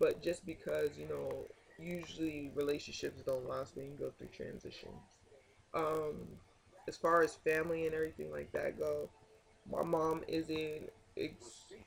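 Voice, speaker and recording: A man at a fairly slow pace, big swings in loudness, noticeable background noise. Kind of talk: casual vlog update. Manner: halting.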